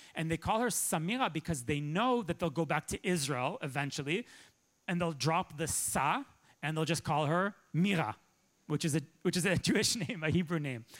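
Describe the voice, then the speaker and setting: A man with a Canadian accent has a plain, everyday voice at a fairly high pitch and lively intonation, on a very clean recording with a silent background. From Toronto, Canada. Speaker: journalist and author. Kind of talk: lecture. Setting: stage with audience.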